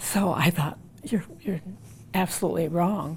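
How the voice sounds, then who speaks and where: A woman talks fairly slowly in a dark, mellow tone that is somewhat breathy, with ordinary pitch variation. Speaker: woman living with Parkinson's. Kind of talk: interview.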